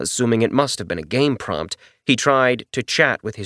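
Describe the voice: Against a quiet background, someone does plain reading aloud with fairly even intonation.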